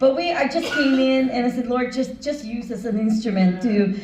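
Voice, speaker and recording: Speech comes at a fairly quick pace with ordinary pitch variation, amid audible room echo and noticeable background noise. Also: woman. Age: 60s. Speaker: financial business owner and speaker. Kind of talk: motivational talk.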